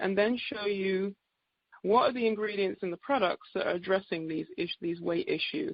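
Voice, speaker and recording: Her English accent comes through clearly as the woman talks. She keeps a medium pitch at a fairly quick pace. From England. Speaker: naturopath. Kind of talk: sales presentation on a call. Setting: conference call.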